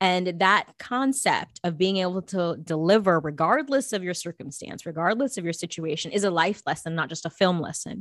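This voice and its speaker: A woman has a plain, everyday voice at a medium pitch and speaks at a moderate pace. The recording is very clean with a silent background. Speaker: actress and producer. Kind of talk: casual interview chat.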